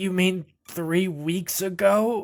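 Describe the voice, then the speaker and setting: In a put-on character voice at a middle pitch, the speaker takes on a nervous tone. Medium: actual play. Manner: halting, nervous.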